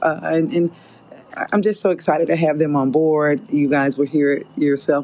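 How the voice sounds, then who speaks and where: Noticeable background noise fills the recording. Over it, a woman talks at a very deep, low pitch. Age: 50s. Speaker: podcast host. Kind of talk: solo podcast monologue. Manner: animated.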